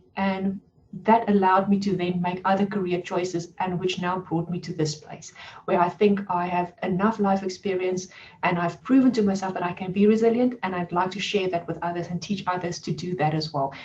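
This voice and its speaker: A woman speaks at medium pitch. She talks with a strong South African accent. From South Africa, Cape Town. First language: Afrikaans. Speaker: life coach. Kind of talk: webinar presentation.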